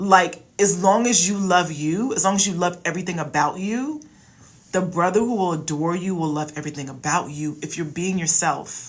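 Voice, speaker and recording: Against audible room echo, a woman with an American accent speaks at a moderate pace in an animated tone, her fairly low voice showing ordinary pitch variation. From Philadelphia, US. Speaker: relationship coach. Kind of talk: live stream Q&A advice. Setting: livestream. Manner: loud; casual, animated.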